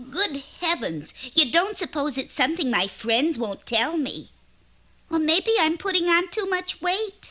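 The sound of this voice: A cartoonish character voice, female-sounding, extremely high in pitch and fairly slow in pace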